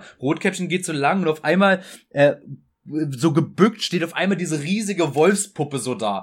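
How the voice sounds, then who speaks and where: A man speaks at a moderate pace in a high voice with ordinary pitch variation. The recording is very clean, with a silent background. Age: 20s. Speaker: comic artist. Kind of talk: casual interview chat.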